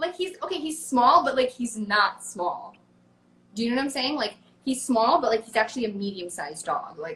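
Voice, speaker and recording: A woman with an American accent speaks at a high pitch, her voice making very wide pitch swings. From United States. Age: 20s. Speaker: social media creator and musician. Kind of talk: casual interview chat. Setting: live interview. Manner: animated, fast.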